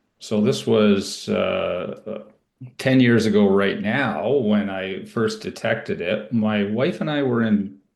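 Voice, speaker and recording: A man speaks at a very slow pace. His pitch varies in an ordinary way, and the room echo is audible. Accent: Canadian. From Ontario, Canada. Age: 60s. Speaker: cancer survivor, IT professional. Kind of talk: interview testimony. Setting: podcast. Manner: casual, with fillers.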